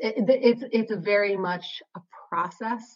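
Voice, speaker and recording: A woman speaks in an American accent at a moderate pace with ordinary pitch variation. She has an ordinary speaking voice. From Wisconsin, US Midwest. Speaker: high school English teacher and author. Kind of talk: casual interview conversation.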